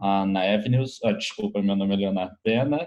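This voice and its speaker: With fairly even intonation, a man speaks in an unremarkable speaking voice. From Brazil, Rio de Janeiro. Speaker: educational technology specialist. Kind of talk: webinar panel talk.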